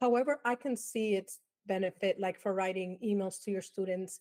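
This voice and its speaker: The speaker has a slight Dominican accent and ordinary pitch variation, recorded with a dry, close sound and no echo. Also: woman. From Dominican Republic. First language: Spanish. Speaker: advertising professor. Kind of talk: interview.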